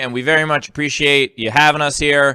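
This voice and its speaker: The recording is very clean, with a silent background. A man talks with a fairly high pitch and a bright, sharp tone. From Jamaica Queens, New York. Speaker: comedian. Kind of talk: sign-off. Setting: live stream.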